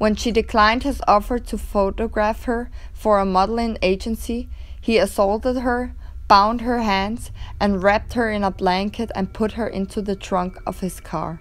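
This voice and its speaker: Medium pitch from a woman, with fairly even intonation and a moderate pace. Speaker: true crime YouTuber. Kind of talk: scripted narration of a crime case. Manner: volume may be too loud or too quiet.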